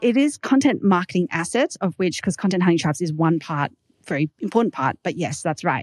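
A woman talks in an Australian accent at a fairly low pitch. The sound is dry and close with no echo. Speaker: startup founder and podcaster. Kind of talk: casual interview chat.

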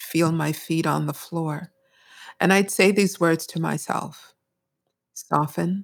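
Speaking very slowly with long, frequent pauses, a woman uses an American accent. Her pitch is fairly low and her intonation fairly even. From US Northeast (Brooklyn, New York). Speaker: mindfulness teacher. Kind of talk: interview.

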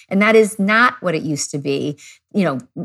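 An ordinary speaking voice moves at a moderate pace with lively intonation. The sound is dry and close with no echo. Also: woman. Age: 40s. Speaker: pediatrician. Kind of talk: expert interview.

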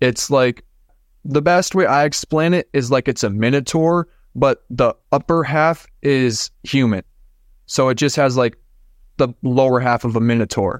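In a plain, everyday voice with an American accent, a man speaks at a fairly slow pace and medium pitch, showing ordinary pitch variation and very even loudness on a very clean recording with a silent background and a dry, close sound with no echo. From Minnesota. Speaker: podcaster sharing paranormal experiences. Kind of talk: casual interview, personal storytelling.

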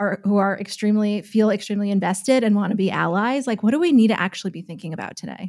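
A woman talks at a very fast pace. The recording is very clean, with a silent background. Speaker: news host. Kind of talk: casual podcast chat.

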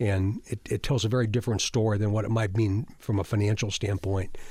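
In a very clean recording with a silent background, a man with an American accent speaks at a very fast pace in a dark, mellow, somewhat breathy tone with fairly even intonation. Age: 60s. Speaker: state police chief. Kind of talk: interview. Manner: halting.

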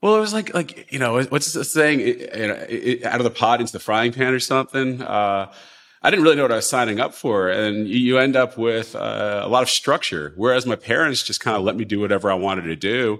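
An American-accented man talks very fast with hardly any pauses. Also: medium pitch for a man, ordinary pitch variation. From US Northeast, Long Island. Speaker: hedge fund manager. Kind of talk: interview.

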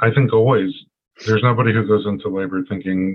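Fairly quick in pace, a man speaks at a fairly low pitch in a plain, everyday voice with ordinary pitch variation. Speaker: podcast host and chiropractor. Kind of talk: interview.

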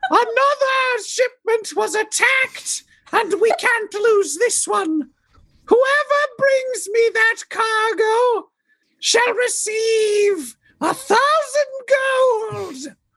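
A woman's put-on character voice, squeaky and shrill, at an extremely high pitch and a very slow pace. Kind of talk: Monty Python old-lady falsetto. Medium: actual play. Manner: shrill, imperious.

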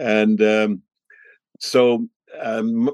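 A man speaks over a quiet background. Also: dry, close sound with no echo. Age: 80s. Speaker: reggae historian and radio host. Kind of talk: interview conversation. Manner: animated storyteller.

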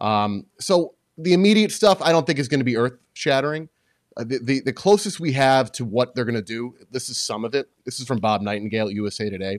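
Speaking at a fairly quick pace with lively intonation, a man at medium pitch has an ordinary speaking voice, recorded very cleanly against a silent background. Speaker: sports journalist and author. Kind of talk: casual chat.

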